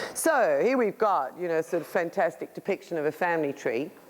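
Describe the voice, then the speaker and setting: A woman speaks at a medium pitch. Noticeable background noise runs under her voice. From England, then 30 years in South Africa. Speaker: energy healer, speaker. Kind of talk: lecture.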